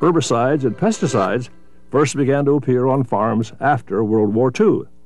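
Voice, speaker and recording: Music plays in the background as a man talks at a medium pitch and a moderate pace. His intonation is lively and his loudness very even. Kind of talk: documentary narration.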